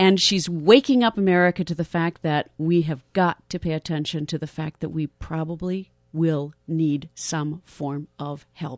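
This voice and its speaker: In a dry sound with no echo and a quiet background, a woman speaks at a fairly slow pace and fairly low pitch with ordinary pitch variation and hardly any pauses. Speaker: radio host. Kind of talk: radio interview. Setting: studio. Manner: enthusiastic. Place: studio. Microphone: studio mic.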